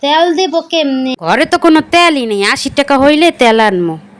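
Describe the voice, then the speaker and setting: In a put-on character voice, a woman speaks at a moderate pace and a high pitch in a sing-song way. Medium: cartoon. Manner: sing-song rhyming.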